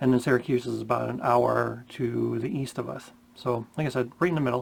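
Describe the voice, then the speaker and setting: With fairly even intonation, a man delivers his words at a moderate pace. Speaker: wedding DJ. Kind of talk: casual vlog talk. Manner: many fillers, umm and ya know.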